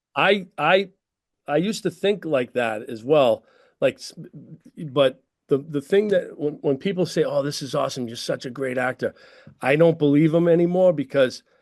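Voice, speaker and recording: A man with a Boston accent speaks at a moderate pace in a fairly high pitch, with ordinary pitch variation and a dry, close sound with no echo against a quiet background. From Boston's North Shore, Massachusetts. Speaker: actor and stuntman. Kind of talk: casual interview chat. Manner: repeats words, stammering starts.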